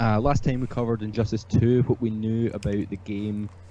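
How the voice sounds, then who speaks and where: With a Scottish accent, a man speaks at a fairly quick pace in a fairly low pitch, his tone dark and mellow and his intonation fairly even. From Scotland. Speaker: podcast host. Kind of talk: casual chat. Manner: mumbles thoughts together at times.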